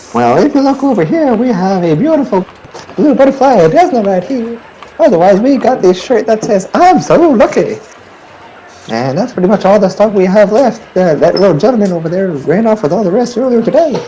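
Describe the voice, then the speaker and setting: In a put-on character voice with a fairly high pitch, the speaker goes at a fairly quick pace against clear background noise. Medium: actual play. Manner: folksy, friendly.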